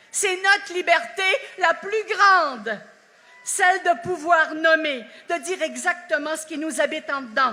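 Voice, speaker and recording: A woman speaks with an Acadian accent in an extremely high, raised, projected voice. Her pace is very slow and her pitch varies in an ordinary way. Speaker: actress giving a national speech. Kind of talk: festival speech. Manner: animated.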